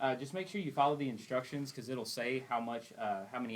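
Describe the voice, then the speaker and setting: A man is speaking. He has an East Texas accent. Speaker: generator tech support technician. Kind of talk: tutorial. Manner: casual, conversational.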